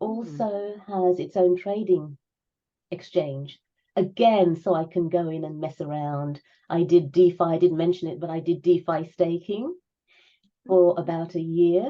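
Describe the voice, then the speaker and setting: An ordinary speaking voice from a woman, fairly low in pitch, at a fairly slow pace with fairly even intonation. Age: 60s. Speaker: crypto enthusiast. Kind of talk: interview answer.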